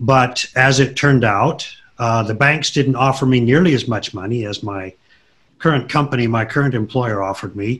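Here is a man with an American accent. His pitch is medium and varies in an ordinary way. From US, southern Idaho. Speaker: aerospace sales director. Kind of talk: interview.

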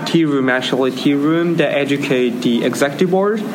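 A man with a Japanese accent speaks at a fairly high pitch. The room echo is audible, and background noise is noticeable. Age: 20s. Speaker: tea ceremony practitioner. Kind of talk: casual conversation. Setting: conference. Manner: halting.

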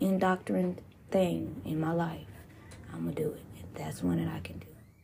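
A woman speaks in an angry, animated tone. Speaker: podcast host. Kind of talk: solo angry rant, cursing and venting about people she cut off and her bad year. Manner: angry, heated, profane, vented in a fiery conversational tirade; animated, with laughs and sighs between bursts of cursing.

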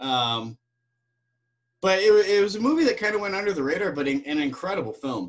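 A man with a high voice speaks in very wide pitch swings, leaving long, frequent pauses. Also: fairly quick pace. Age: 40s. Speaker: actor. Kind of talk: casual chat. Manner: halting.

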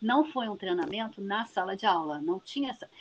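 A woman speaks at a fairly slow pace with a fairly high pitch. Her pitch swings are very wide. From Niterói, Rio de Janeiro state, Brazil. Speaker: geography professor. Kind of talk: interview.

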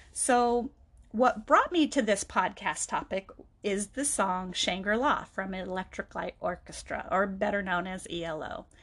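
With a normal speaking voice at medium pitch, a woman talks at a fairly slow pace, her intonation lively and her loudness swinging widely. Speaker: podcast host. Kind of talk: personal monologue.

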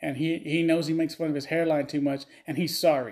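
The voice has a dark, mellow tone and a Texan accent, moving at a fairly quick pace. The recording is very clean, with a silent background. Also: man. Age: 30s. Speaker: podcast host. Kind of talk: casual, crude comedic rant. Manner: crude, joking.

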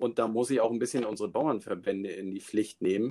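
A man with a normal speaking voice, medium pitch and ordinary pitch variation. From Schleswig-Holstein, northern Germany. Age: 40s. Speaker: forester and local politician. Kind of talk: casual interview. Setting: live remote call.

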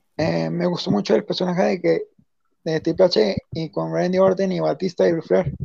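The sound is dry and close with no echo as a man talks at a fairly slow pace. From Mexico. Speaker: wrestling fan commentator. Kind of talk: casual chat.

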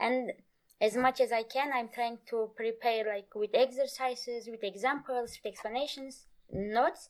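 At a moderate pace, a woman talks with a high pitch. Her intonation stays fairly even. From Turkey. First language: Turkish. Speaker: Kurdish language teacher. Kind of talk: interview. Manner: halting.

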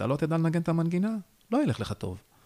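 A man speaks very fast in a dark, mellow tone. The sound is dry and close with no echo, on a very clean recording with a silent background. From northern Israel, Haifa bay area. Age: 30s. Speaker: stand-up comedian. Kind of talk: interview.

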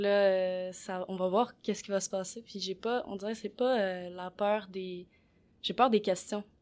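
In a very clean recording with a silent background, a woman with a plain, everyday voice speaks at a medium pitch and a fairly slow pace, her intonation fairly even but her loudness swinging widely. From Quebec. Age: 20s. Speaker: podcast co-host. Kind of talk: casual discussion.

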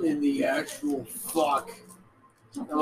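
A very slow pace amid noticeable background noise. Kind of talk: casual chat. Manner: animated.

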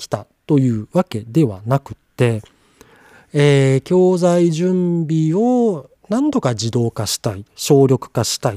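The speech moves at a very slow pace. Its pitch swings very widely. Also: man. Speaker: podcaster and part-time college lecturer. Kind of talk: solo podcast monologue. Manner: halting with fillers.

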